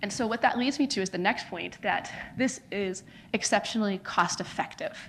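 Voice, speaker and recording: In an American accent, this is an ordinary speaking voice with ordinary pitch variation. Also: woman. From United States. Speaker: non-profit founder. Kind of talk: conference talk.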